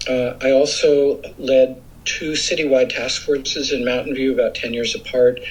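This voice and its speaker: A medium-pitched man talks at a moderate pace with hardly any pauses. His intonation stays fairly even over noticeable background noise. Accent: American. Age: 60s. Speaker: environmental advocate. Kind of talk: interview. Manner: hesitant with fillers.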